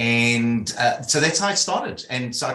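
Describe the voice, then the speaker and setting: With a South African accent, a man talks at a medium pitch and moderate pace in a bright, sharp tone. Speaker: leadership consultant. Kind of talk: interview.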